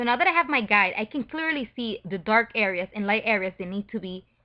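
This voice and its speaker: A woman talks at a very fast pace with a non-native accent. Her pitch is fairly high. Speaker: photo retouching tutor. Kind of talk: tutorial.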